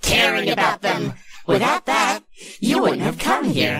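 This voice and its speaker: The voice is a put-on character voice. It sounds raspy. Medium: voice reel. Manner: menacing, taunting.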